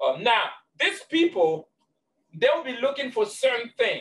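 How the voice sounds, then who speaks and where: Light background noise is present. Over it, a man talks at a fairly quick pace. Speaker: business trainer. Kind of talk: lecture. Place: office. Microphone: webcam.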